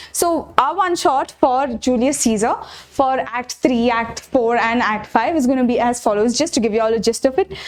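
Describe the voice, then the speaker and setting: Noticeable background noise surrounds a woman speaking. Her pitch is high and her pace moderate. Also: ordinary pitch variation. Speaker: online tutor. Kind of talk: lecture.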